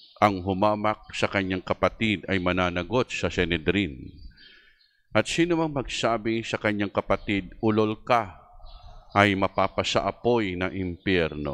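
A man speaks in an ordinary speaking voice, fairly low in pitch, at a fairly slow pace with ordinary pitch variation. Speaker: priest. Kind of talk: mass, homily and liturgical prayer; liturgical prayer and gospel reading. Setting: church. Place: church. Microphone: handheld.

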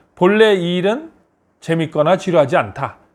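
This man speaks at a moderate pace. His pitch is high. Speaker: business consultant and lecturer. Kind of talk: motivational talk.

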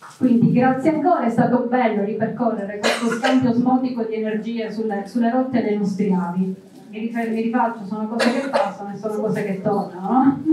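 A woman's fairly high voice at a fairly quick pace, fairly even in intonation, with audible room echo and noticeable background noise. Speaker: journalist and moderator. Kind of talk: moderated book talk. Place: hall.

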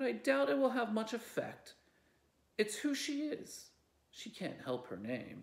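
A man puts on a growling character voice, high-pitched for a man. He speaks fairly slowly, with long, frequent pauses. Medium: read story. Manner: gruff, commanding, dryly amused.

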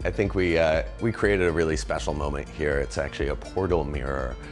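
Over clear background music, a man speaks with a very deep, low pitch. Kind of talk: interview answer. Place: bar.

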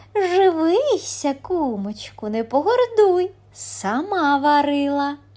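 A woman performs a cartoonish character voice at a high pitch. She talks at a very slow pace with hardly any pauses. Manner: sweet, coaxing.

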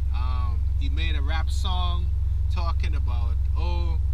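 This man's very deep, low voice sounds dry with no echo, though noticeable background noise is present. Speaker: vlogger. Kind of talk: casual vlog chat. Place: car.

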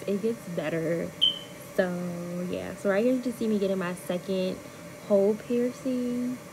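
Background noise is noticeable throughout. The speech moves at a moderate pace. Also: woman. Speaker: vlogger. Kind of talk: casual vlog voice-over.

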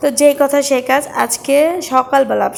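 Through noticeable background noise comes a woman's voice with a high pitch. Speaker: vlogger. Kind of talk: vlog narration. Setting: outdoors, self-filmed.

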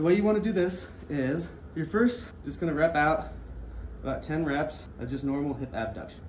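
Over light background noise and audible room echo, a man speaks with vocal fry. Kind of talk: tutorial. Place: gym.

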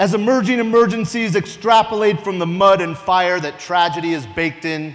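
This man's voice is high-pitched and dramatic in tone, with lively intonation and a moderate pace. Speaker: police lieutenant and poet. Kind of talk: spoken-word poetry performance of an original ode to police officers. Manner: dramatic, rhythmic declamation building to rousing exhortation; earnest, emotionally charged delivery with vivid imagery. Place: stage. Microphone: lapel.

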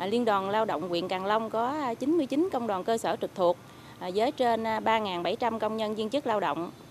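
A woman at a moderate pace with ordinary pitch variation, dry sound with no echo, and light background noise. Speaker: local trade union official. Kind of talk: interview. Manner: halting. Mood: calm, official reporting. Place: garden. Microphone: handheld.

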